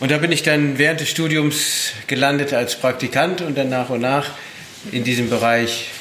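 Over noticeable background noise and audible room echo, a man speaks at a fairly high pitch with fairly even intonation. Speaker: chef. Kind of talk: interview. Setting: studio kitchen.

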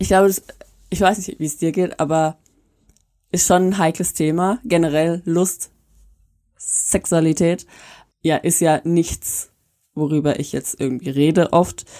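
Long, frequent pauses break up a woman's fairly slow speech, her pitch fairly low and her tone dark and mellow. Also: fairly even intonation, very clean recording, silent background. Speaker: podcast co-host. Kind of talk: casual chat; reading aloud.

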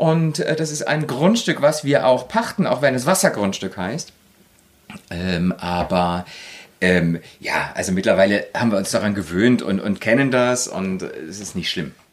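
This man's pitch swings very widely. He speaks at a fairly slow pace. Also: medium pitch for a man. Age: 40s. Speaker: interior design engineer. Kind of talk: casual interview. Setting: on a houseboat. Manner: hesitant, many fillers.

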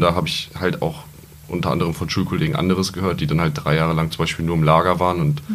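Over noticeable background noise, a man with a very deep, low pitch speaks at a very fast pace with fairly even intonation. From Lower Saxony, Germany (Peine). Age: 20s. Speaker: wholesale trade apprentice. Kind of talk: podcast interview.

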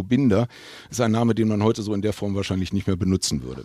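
A man talks in a normal speaking voice, fairly low in pitch, with ordinary pitch variation. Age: 50s. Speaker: football club heritage official. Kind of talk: casual interview. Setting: basement fan room.

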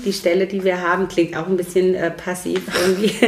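A woman speaks at a medium pitch amid noticeable background noise. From Romania (Transylvania), came to Germany around age 9. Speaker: lawyer and civil servant. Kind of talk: casual interview.

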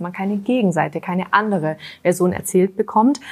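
A woman with a plain, everyday voice, medium pitch and fairly even intonation. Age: 20s. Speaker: royals expert, journalist. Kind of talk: casual chat.

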